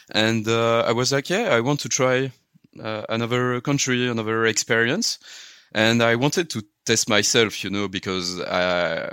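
A man with a strong French accent, fairly slow pace, ordinary pitch variation and a bright, sharp tone, on a very clean recording with a silent background. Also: medium pitch for a man. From France, Paris; raised in Luxembourg. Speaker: software consultant. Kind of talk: casual interview. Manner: halting, many fillers.

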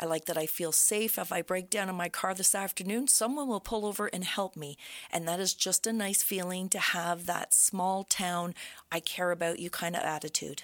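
In a very clean recording with a silent background, a woman with an Ontario accent speaks at a moderate pace with medium pitch and ordinary pitch variation. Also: dry, close sound with no echo. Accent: Canadian English (Ontario). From Brockville, Ontario, Canada. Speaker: real estate agent. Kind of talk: casual interview.

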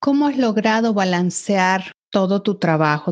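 In a normal speaking voice, the speaker goes at a fairly slow pace with lively intonation, recorded with a dry, close sound and no echo. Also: woman. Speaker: podcast host. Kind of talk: interview.

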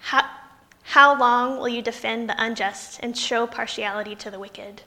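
With an American accent, a woman speaks at a high pitch with fairly even intonation. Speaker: pastor. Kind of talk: sermon. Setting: church with congregation.

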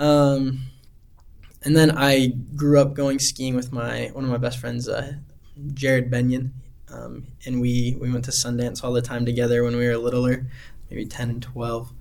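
In a Utah accent, the speaker delivers flat, monotone lines broken by long, frequent pauses, with room echo audible. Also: man, medium pitch for a man, moderate pace. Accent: Utah American. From Utah, Heber City. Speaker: missionary. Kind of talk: interview.

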